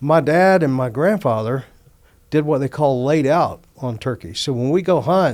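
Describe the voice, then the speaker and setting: A man with a Louisiana accent speaks at a fairly high pitch with ordinary pitch variation. The recording is very clean, with a silent background. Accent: US Southern, Louisiana. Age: 60s. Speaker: outdoors organization executive. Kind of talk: casual chat.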